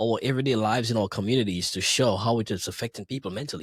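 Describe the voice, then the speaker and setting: In a Grenadian accent, a man with a medium pitch and a somewhat breathy voice speaks at a very fast pace on a very clean recording with a silent background. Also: dry, close sound with no echo. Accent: Caribbean (Grenadian). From Grenada. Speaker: DJ and entertainer. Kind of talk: casual interview.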